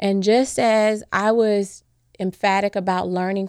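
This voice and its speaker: An ordinary speaking voice at a fairly slow pace, with a very clean recording, a silent background, and a dry, close sound with no echo. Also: woman. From US Midwest, Chicago. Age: 40s. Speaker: former nurse, world traveler. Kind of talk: interview.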